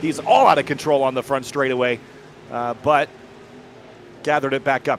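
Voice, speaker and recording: A speaker with an American accent talks at a fairly quick pace over noticeable background noise. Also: man. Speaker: sim racing commentator. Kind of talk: live commentary.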